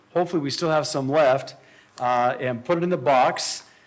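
Ordinary pitch variation marks a man's delivery at a moderate pace. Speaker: church host. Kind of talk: announcements then spoken prayer. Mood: light, joking, then reverent. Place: church. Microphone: podium.

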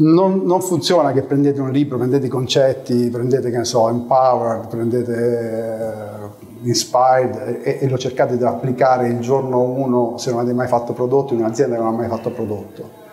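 A man talks at a medium pitch with fairly even intonation. Noticeable background noise runs underneath. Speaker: product executive giving a talk. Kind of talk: conference talk, casual and joking. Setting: live meetup with audience. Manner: informal, humorous, with hesitations.

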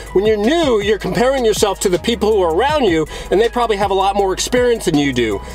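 Faint music plays in the background as a man talks at a very fast pace. The sound is dry, with no echo. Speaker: coach. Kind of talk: motivational talk to camera. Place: car. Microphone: phone near.

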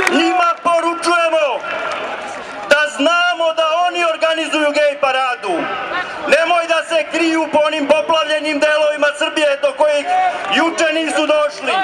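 Amid noticeable background noise, a man with a Serbian accent speaks with long, frequent pauses. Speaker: rally speaker, right-wing movement leader. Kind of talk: rally speech, fiery nationalist oratory to a crowd. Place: street.

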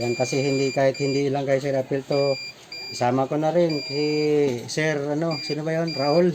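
At a moderate pace, someone talks while noticeable background noise is present. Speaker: metal detector seller. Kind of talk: street seller pitchman, live product demo sales pitch.

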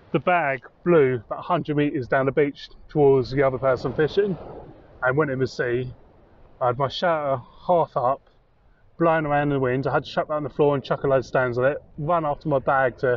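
A man at a fairly quick pace, fairly even intonation, dry sound with no echo. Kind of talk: casual vlog chat. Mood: cheerful, wry. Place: beach. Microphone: phone near.

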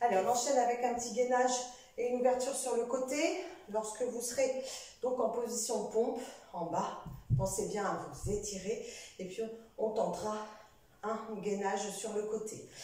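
Audible room echo surrounds a woman talking at a moderate pace with ordinary pitch variation and long, frequent pauses. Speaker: fitness instructor. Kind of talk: exercise class instruction. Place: home room.

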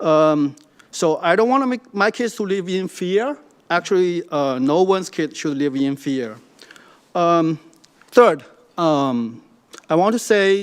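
A man with a Chinese accent, high in pitch, lively intonation, fairly slow pace, long, frequent pauses. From China. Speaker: public commenter. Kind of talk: public comment. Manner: halting, many fillers.

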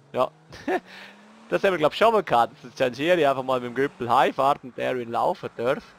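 Lively intonation and big swings in loudness mark this fairly quick delivery, broken by long, frequent pauses and heard in a dry, close sound with no echo. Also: man, medium pitch for a man. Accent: Graubünden. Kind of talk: casual let's play commentary.

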